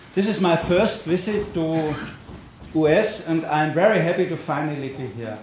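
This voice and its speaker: A man with a German accent and a fairly high voice speaks at a fairly slow pace, with audible room echo and noticeable background noise. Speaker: politician, party co-chair. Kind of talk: conference speech.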